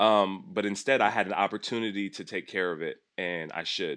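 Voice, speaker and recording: Against a quiet background, a man talks at a moderate pace with a fairly low pitch in a normal speaking voice. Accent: American. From Los Angeles. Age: 30s. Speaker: massage therapist. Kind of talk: casual interview.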